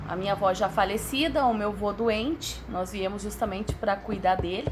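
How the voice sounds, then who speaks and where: Over music in the background and with audible room echo, a woman of medium pitch talks at a moderate pace with ordinary pitch variation. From Rio Grande do Sul, Brazil (São Leopoldo area). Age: 30s. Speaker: social educator. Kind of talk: interview. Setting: live show in a ranch-style hall.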